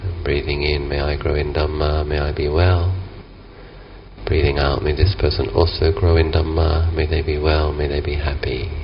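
A man's very deep, low, monotone voice with flat intonation at a moderate pace, with noticeable background noise. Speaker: meditation teacher. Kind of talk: guided meditation. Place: garden.

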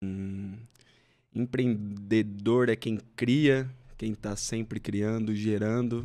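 Against a quiet background, a man with a dark, mellow tone speaks very slowly in a flat monotone. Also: fairly low pitch for a man. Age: 30s. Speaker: entrepreneur; podcast guest. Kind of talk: interview. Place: studio. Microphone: studio mic.

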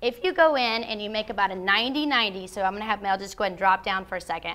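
A woman talks at a fairly quick pace with a bright, sharp tone. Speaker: fitness trainer. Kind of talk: tutorial. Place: gym.

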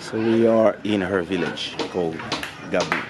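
A man's voice, dry with no echo, over crowd noise in the background. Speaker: vlogger. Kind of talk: casual vlog chat. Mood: relaxed, content. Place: street. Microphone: phone near.

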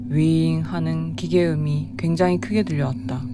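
In a calm tone, a woman talks at a moderate pace over noticeable background noise. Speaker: amateur horror story reader. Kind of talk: horror story reading. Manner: calm, understated.

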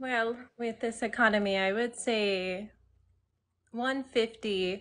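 A woman with a fairly high voice and a Southern Californian accent speaks at a very slow pace. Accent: Valley girl American. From US Southwest (Arizona). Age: 20s. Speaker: dating show participant, real estate agent. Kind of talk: casual chat. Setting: video call on a livestream. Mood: relaxed, friendly. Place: home room. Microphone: phone near.

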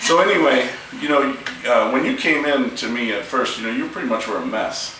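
Light background noise and audible room echo accompany a man speaking at a fairly quick pace. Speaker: chiropractor. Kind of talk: interview questions to patient. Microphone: camera far.

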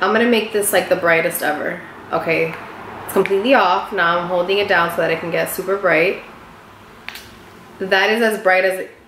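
A woman talks fairly quickly with fairly even intonation. Light background noise and audible room echo are in the recording. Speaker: beauty vlogger. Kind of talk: casual product review chat. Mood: surprised, impressed. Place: home room. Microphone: phone near.

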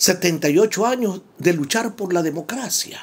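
Pitch swings very widely in this man's voice. He talks very slowly. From Ecuador. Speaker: radio commentator. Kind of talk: spoken commentary. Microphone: phone near.

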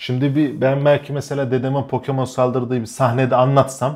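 Against a quiet background, a man of medium pitch talks at a fairly quick pace in a flat monotone. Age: 20s. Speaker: YouTuber and comedian; YouTuber, comedian. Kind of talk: casual chat. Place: home room. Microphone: lapel.

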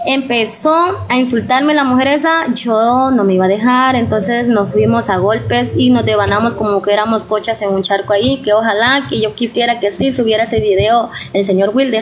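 A woman's fairly high voice with fairly even intonation, over clear background noise. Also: moderate pace, few pauses.

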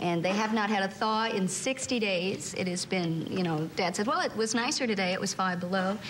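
A woman's voice at a moderate pace and with ordinary pitch variation, against noticeable background noise. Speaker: talk show guest. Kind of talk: interview answer. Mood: playful, animated storytelling. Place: studio.

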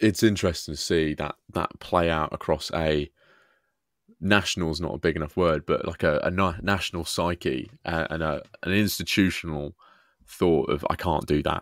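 Recorded very cleanly against a silent background with a dry, close sound and no echo, a man with a British accent speaks at a moderate pace in a very deep, low voice with fairly even intonation. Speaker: history podcast host. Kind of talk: casual interview.

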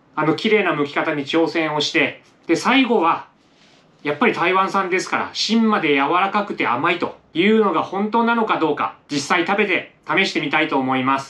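At a moderate pace, a man talks in a high pitch with a bright, sharp tone. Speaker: home cooking vlogger. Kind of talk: tutorial. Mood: cheerful and relaxed. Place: home room. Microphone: camera far.

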